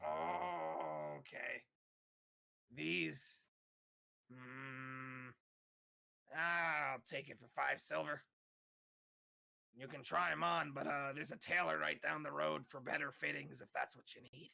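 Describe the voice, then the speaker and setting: Putting on a raspy character voice at medium pitch for a man, a man talks at a fairly slow pace with very wide pitch swings, big swings in loudness and long, frequent pauses. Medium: actual play.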